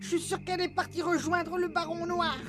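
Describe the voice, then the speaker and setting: A cartoonish character voice at an extremely high pitch and a fairly quick pace, over clear background noise. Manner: casual, offhand.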